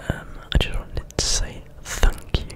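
Whispering and soft-spoken, a man talks over loud background noise. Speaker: ASMR creator. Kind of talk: soft ASMR chat. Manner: soft close-mic ASMR whisper. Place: home room. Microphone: studio mic.

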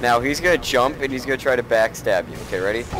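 A man talks at a moderate pace. The sound is dry with no echo, but there is noticeable background noise. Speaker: gamer coaching friends. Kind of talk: casual gameplay chat.

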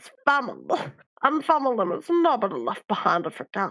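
A female-sounding voice with a high pitch moves at a fairly quick pace. It is a put-on character voice.

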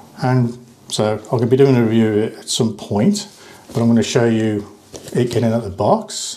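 A man talks at a moderate pace and a medium pitch. His tone is dark and mellow, with audible room echo.

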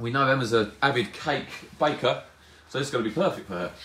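Fairly quick speech with ordinary pitch variation, audible room echo and light background noise. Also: man. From UK. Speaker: live-stream competition host. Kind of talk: live stream presenting a prize draw, casual. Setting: live video stream. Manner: friendly, chatty. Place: shop.

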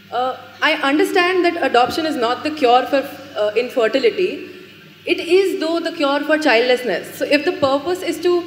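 Audible room echo and light background noise surround a woman who speaks at a moderate pace with lively intonation. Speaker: student. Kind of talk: audience question. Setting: stage with audience. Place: hall. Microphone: handheld.

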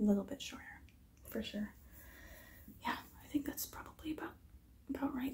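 A woman whispering at a fairly quick pace. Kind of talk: role-play chat to camera. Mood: gentle, friendly. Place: home room. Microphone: phone near.

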